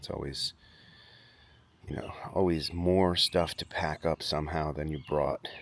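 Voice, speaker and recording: Soft-spoken and at a fairly slow pace, a man talks with a very deep, low pitch. His intonation is monotone and flat, broken by long, frequent pauses. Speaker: vlogger. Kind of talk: casual vlog. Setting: outdoors at campsite. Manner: hesitant, filler-heavy.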